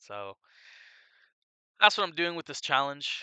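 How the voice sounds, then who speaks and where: A man's bright, sharp tone in a dry, close recording with no echo. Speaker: novice livestreamer. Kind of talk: casual livestream chat. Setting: outdoors at night. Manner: scattered, distracted.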